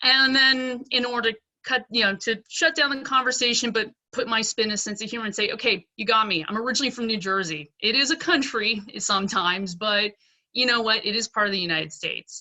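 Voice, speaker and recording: Using a plain, everyday voice, a woman with an American accent speaks at a fairly quick pace in a fairly high pitch with ordinary pitch variation. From Pennsylvania, US. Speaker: dentist. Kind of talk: panel discussion. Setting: video call.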